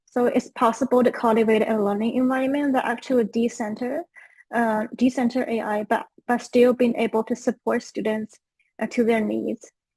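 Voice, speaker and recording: Speaking with a Chinese accent, a woman has a fairly high pitch, a dark, mellow tone, and monotone, flat intonation at a moderate pace. The sound is dry and close, with no echo. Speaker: education researcher. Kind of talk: panel discussion.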